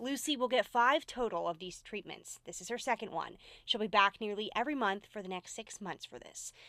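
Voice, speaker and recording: A woman with an American accent and a normal speaking voice talks at a moderate pace with a fairly high pitch and lively intonation. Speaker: TV news anchor and traffic reporter. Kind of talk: TV news feature voiceover. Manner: warm, empathetic.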